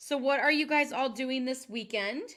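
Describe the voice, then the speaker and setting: In a very clean recording with a silent background, a woman projects a raised, high-pitched voice at a fairly slow pace. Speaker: card-making demonstrator. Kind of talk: live tutorial. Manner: loud; chatty, filler-heavy.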